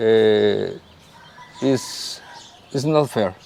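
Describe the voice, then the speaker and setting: A man speaks with a Spanish accent and ordinary pitch variation. Noticeable background noise sits behind him. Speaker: leader of a search collective for missing people. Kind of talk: interview. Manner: halting.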